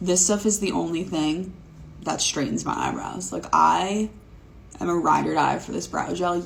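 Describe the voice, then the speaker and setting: Audible room echo accompanies a woman speaking at a fairly quick pace. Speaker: beauty content creator. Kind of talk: makeup tutorial vlog. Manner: monotone; casual, filler-heavy.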